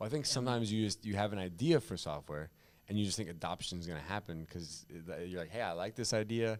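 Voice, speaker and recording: At a very fast pace, a man speaks with ordinary pitch variation on a very clean recording with a silent background. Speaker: podcast host. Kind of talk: podcast host talk.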